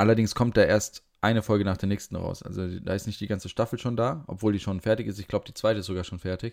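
With a normal speaking voice, a man at fairly low pitch talks fairly quickly in a dry, close sound with no echo. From Frankfurt, Hesse. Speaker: podcast co-host. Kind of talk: casual chat. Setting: video call from home.

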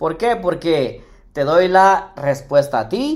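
A man speaks in an animated tone with lively intonation. The recording is very clean, with a silent background. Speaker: personal finance radio host. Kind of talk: live radio talk show.

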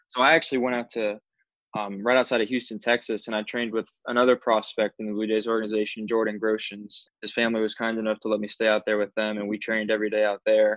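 This man talks at a very fast pace with an American accent. His intonation is monotone and flat. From US South, Orlando, Florida. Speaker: minor league baseball pitcher. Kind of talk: interview.

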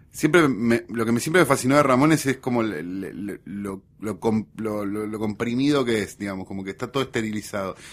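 A man with an unremarkable speaking voice talks fairly quickly at medium pitch, with ordinary pitch variation and big swings in loudness. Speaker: writer and guest. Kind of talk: casual chat.

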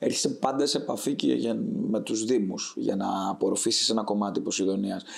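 Over noticeable background noise, a man with a fairly low pitch talks at a moderate pace, using lively intonation and very even loudness. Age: 20s. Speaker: startup founder. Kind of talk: interview.

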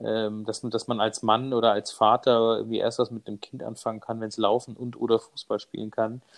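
Speaking at a moderate pace with hardly any pauses, a man with a medium pitch keeps a monotone, flat intonation while his loudness swings widely. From Bavaria, Munich. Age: 30s. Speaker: stay-at-home father and cameraman. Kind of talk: casual interview. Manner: hesitant, many fillers.

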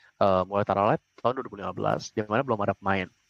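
A man talks at a fairly quick pace with a fairly low pitch and ordinary pitch variation. The sound is dry and close with no echo, over a quiet background. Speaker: startup founder and CEO. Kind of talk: casual interview.

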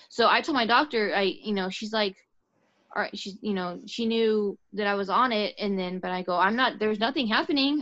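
Her voice is fairly high, and its pitch varies in an ordinary way. This woman has a plain, everyday voice. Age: 30s. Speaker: podcast guest. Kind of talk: casual chat.

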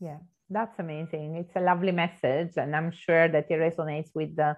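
At a moderate pace, a woman with a very deep, low pitch for a woman speaks with fairly even intonation. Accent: Italian. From southern Italy. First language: Italian. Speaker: podcast host. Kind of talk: casual interview.

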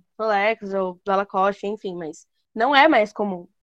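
A woman's fairly high-pitched, unremarkable speaking voice at a fairly slow pace, with a dry, close sound and no echo. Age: young. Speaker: podcast co-host. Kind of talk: casual chat.

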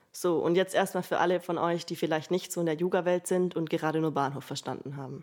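Very cleanly recorded against a silent background, a woman with an unremarkable speaking voice talks quickly enough, her pitch fairly low and her intonation fairly even. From Allgäu, southern Germany (Bavaria). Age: 20s. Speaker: student podcaster. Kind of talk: personal storytelling monologue.

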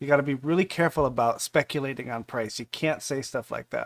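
A man in a normal speaking voice, fairly high-pitched with ordinary pitch variation, dry and close with no echo, on a very clean recording with a silent background. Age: 40s. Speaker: crypto community livestream host. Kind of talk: casual livestream AMA. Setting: live stream.

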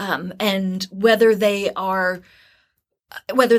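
A woman's ordinary speaking voice with an American accent, medium in pitch, with fairly even intonation and a very clean recording over a silent background. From New Jersey, US. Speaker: university recruiter. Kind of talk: interview conversation.

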